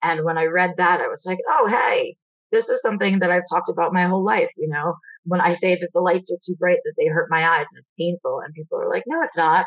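A very fast pace with big swings in loudness. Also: woman. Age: 30s. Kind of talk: interview.

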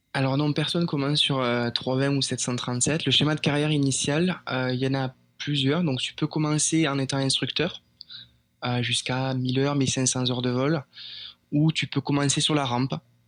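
At a moderate pace, a man talks in a fairly high pitch with flat, monotone intonation and very even loudness. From France. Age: 20s. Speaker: airline pilot. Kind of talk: interview. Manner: halting.

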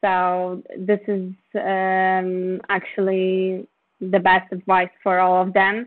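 A woman with a Polish accent, medium pitch, monotone, flat intonation and a very slow pace. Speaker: film producer. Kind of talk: interview.

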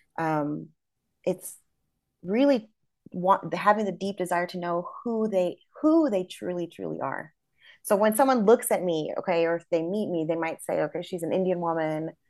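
A woman with a Midwestern American accent speaks at a fairly low pitch with lively intonation. The background is quiet. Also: moderate pace. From US Midwest, small town. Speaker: educator. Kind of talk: interview.

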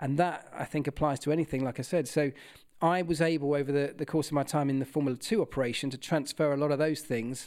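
At a very fast pace, a man speaks with a fairly high pitch on a very clean recording with a silent background. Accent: southern English. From southern England, Kent. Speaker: former motorsport mechanic and TV presenter. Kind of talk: interview.

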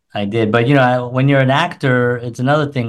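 A plain, everyday voice with an American accent, at a fairly quick pace. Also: man. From New York City. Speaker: musician and filmmaker. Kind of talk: casual chat.

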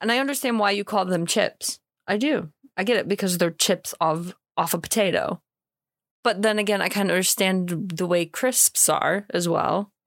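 A woman with an American accent speaks at medium pitch and a moderate pace with ordinary pitch variation and very even loudness, in a very clean, dry recording with a silent background and a close sound with no echo. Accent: American, mistaken for Irish in UK. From US Midwest, Illinois. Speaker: co-host. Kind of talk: casual chat.

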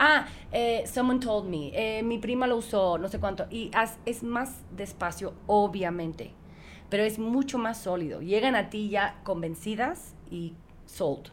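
A woman speaks at a fairly slow pace, her fairly high pitch showing ordinary variation. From United States, Cuban parents. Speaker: entrepreneur. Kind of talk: casual interview. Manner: code-switching Spanish and English; halting.

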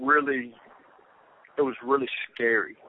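A man speaks with a Southern US accent in a monotone, flat intonation. Noticeable background noise is present. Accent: Southern US (Georgia). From US South, Georgia (Rome). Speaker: former inmate sharing his conversion. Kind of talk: testimony.

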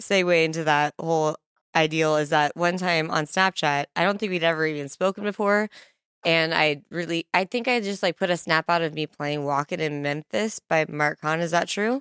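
The voice has a Midwestern US accent and an animated tone, with ordinary pitch variation and a moderate pace, in a very clean recording with a silent background and a dry, close sound with no echo. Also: woman, fairly low pitch for a woman. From Kearney, Nebraska. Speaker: podcast host. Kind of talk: casual interview chat. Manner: animated, laughs often.

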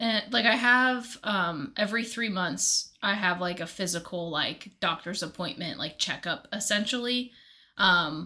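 On a very clean recording with a silent background, a woman with a normal speaking voice talks at a fairly slow pace, her medium pitch showing ordinary variation. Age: 30s. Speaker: podcast co-host. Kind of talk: casual chat.

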